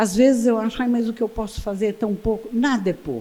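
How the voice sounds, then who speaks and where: Dark, mellow tone in a somewhat breathy female voice. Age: 80s+. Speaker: photographer. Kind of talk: lecture. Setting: stage with audience. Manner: animated.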